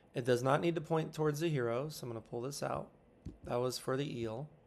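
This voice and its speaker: A fairly high male voice with ordinary pitch variation. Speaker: teacher. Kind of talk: tutorial. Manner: fast.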